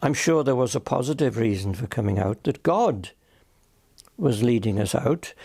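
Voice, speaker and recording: With a Welsh accent, a man speaks at a medium pitch in a dark, mellow, somewhat breathy tone. His intonation is lively and his pace moderate, on a very clean recording with a silent background. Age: 90s; old. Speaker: retired minister. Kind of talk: interview answer.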